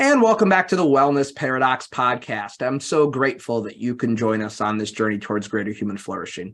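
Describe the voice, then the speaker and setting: With an ordinary speaking voice, a man talks at a fairly quick pace with hardly any pauses, using lively intonation at a medium pitch. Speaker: podcast host, exercise physiologist. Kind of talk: podcast intro and interview questions.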